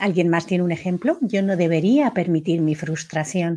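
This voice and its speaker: Her voice sits fairly low for a woman, with a dark, mellow tone. She speaks at a fairly slow pace, with ordinary pitch variation. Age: 50s. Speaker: coach leading a self-inquiry workshop. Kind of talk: live online workshop.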